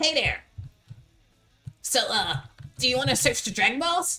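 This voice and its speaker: The voice is a put-on character voice with a high pitch. It moves at a moderate pace. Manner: hesitant, unsure.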